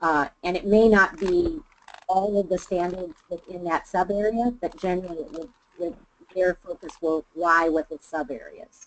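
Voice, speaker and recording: This woman speaks at a moderate pace with a medium pitch and ordinary pitch variation. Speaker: webinar presenter. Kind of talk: webinar discussion. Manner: loud. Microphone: muffled, fading in and out; video call.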